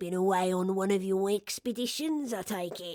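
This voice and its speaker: A woman puts on a character voice at medium pitch, talking at a moderate pace. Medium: read story. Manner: warm, kindly.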